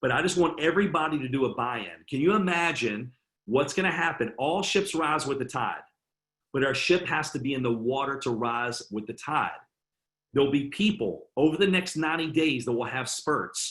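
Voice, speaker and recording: Lively intonation from a man with a fairly high-pitched voice. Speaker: network marketing team leader. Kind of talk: sales training webinar. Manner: fast; moderate energy.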